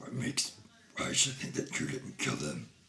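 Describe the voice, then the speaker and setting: A raspy, put-on character voice from a man at a moderate pace over light background noise. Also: medium pitch for a man. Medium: actual play.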